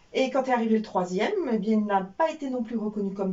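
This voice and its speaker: At a fairly quick pace, a woman with a medium pitch speaks with ordinary pitch variation amid noticeable background noise. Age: 60s. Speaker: former telecom employee, burnout survivor. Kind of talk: personal testimony interview. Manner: hesitant, many fillers.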